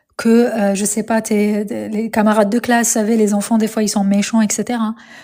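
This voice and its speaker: Noticeable background noise sits behind a woman's fairly high voice. She keeps a moderate pace and fairly even intonation. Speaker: spiritual coach livestreamer. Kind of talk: live stream talk. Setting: live stream. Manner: hesitant with many fillers.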